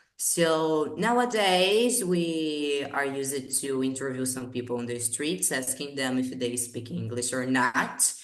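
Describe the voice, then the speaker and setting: Amid audible room echo, a woman with a very deep, low pitch talks at a fairly slow pace with hardly any pauses. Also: ordinary pitch variation. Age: 20s. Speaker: English teacher. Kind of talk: casual chat.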